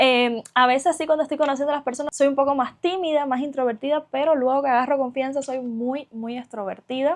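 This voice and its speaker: A woman's high voice with a Cuban accent, at a fairly quick pace, with fairly even intonation and hardly any pauses. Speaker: vlogger. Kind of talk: casual vlog monologue. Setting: sitting on her bed at home.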